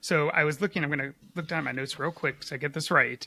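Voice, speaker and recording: A man with an American accent speaks with vocal fry and a bright, sharp tone, in a dry, close sound with no echo on a very clean recording with a silent background. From US, Philadelphia. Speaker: podcast co-host. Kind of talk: casual podcast chat, reading from notes.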